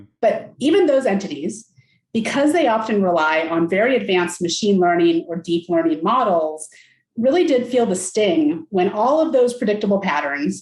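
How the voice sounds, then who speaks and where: A woman speaks at a medium pitch with very wide pitch swings. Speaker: analytics strategic advisor. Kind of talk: interview. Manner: fast.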